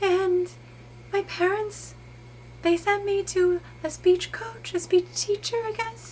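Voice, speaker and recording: Breathy and in a put-on character voice, a woman talks at a fairly slow pace with long, frequent pauses over clear background noise. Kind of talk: improvised character monologue. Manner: hesitant, earnest.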